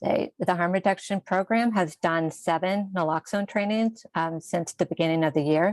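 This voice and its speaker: The speaker is soft-spoken and talks at a moderate pace with ordinary pitch variation. The sound is dry and close with no echo, over a quiet background. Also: woman. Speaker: health department staff presenter. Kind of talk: meeting report.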